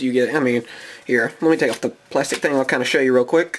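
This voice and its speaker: A man is speaking. Noticeable background noise sits under his voice. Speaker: gaming YouTuber. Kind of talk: card pack opening video. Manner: casual, rambling with fillers.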